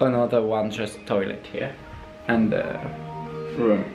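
Clear music is playing in the background. Over it, a man talks. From France. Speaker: student. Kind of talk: casual vlog talk to camera, in English. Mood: playful, mock complaining. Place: home room. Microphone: phone near.

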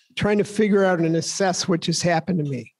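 A man with a high pitch and ordinary pitch variation speaks over a quiet background. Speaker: guest speaker. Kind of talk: personal story. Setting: stage with audience. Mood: calm storytelling. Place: hall.

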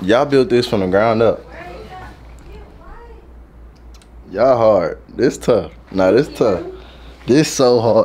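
A man talks at a very slow pace with long, frequent pauses. Light background noise sits underneath. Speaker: vlogger visiting the salon. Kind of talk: casual vlog chat. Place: shop. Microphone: phone near.

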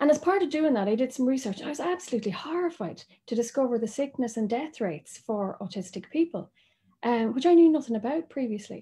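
A high-pitched woman's voice in an Irish accent, very fast, with very wide pitch swings and a dark, mellow tone, against a quiet background. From Ireland. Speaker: doctor. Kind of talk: presentation.

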